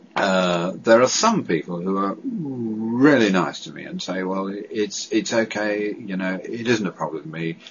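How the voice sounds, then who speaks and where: With a British accent, a man speaks at a fairly slow pace in a fairly low pitch. Background noise is noticeable. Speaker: person who stammers, advocate. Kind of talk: testimony. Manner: halting.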